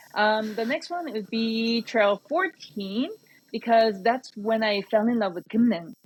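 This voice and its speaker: Somewhat breathy, a woman speaks at a fairly slow pace in a fairly high pitch with ordinary pitch variation. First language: Korean. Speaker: trail organization representative. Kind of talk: podcast interview.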